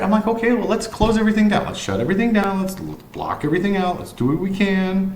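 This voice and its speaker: Amid audible room echo and noticeable background noise, this man's speech moves fairly quickly. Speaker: vlogger. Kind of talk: personal monologue. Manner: casual, rambling delivery with repetitions.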